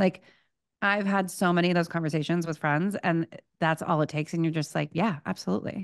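A normal speaking voice with fairly even intonation, very even loudness, and a quiet background. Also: woman, fairly low pitch for a woman. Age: 30s. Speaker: podcast host. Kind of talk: casual chat. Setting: video call. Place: home room. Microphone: studio mic.

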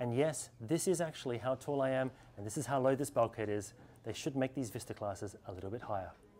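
Talking at a very fast pace, a man keeps ordinary pitch variation. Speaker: presenter. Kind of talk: presenter commentary to camera. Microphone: lapel.

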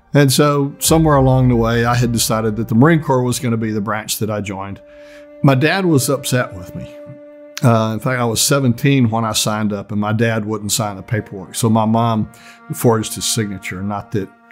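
Faint music plays in the background as a man speaks at a fairly quick pace with ordinary pitch variation. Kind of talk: interview answer. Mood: reflective, lightly humorous. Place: studio.

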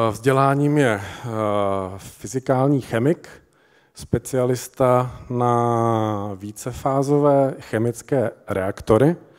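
Very slow speech from a man, with a quiet background. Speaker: event presenter. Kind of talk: speaker introduction. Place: stage. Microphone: handheld.

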